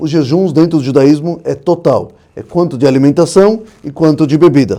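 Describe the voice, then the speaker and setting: In a dark, mellow tone, a man with a non-native accent talks with ordinary pitch variation. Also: fairly high pitch for a man, moderate pace. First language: not Portuguese (speaking Portuguese). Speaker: rabbi. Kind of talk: podcast interview.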